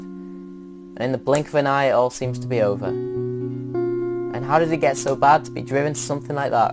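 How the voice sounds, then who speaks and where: A man at medium pitch with music in the background. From England. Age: young. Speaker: spoken word poet. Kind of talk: spoken word poetry performance. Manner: earnest, impassioned.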